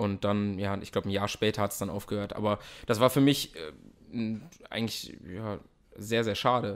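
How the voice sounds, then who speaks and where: A man with a plain, everyday voice and fairly low pitch speaks at a moderate pace with fairly even intonation, recorded very cleanly against a silent background. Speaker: actor. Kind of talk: interview. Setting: host's home.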